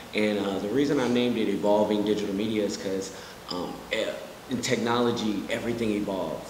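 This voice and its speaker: Speaking very fast with an American accent, a man with a fairly low pitch keeps a fairly even intonation over noticeable background noise. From Kansas City, Missouri; Missouri. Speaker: digital marketer; interview guest. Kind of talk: interview. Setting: studio. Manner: casual, many fillers.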